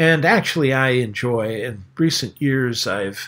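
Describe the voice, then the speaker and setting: A man with an American accent at a very slow pace. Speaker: atheist YouTuber. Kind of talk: casual monologue. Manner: hesitant, many fillers.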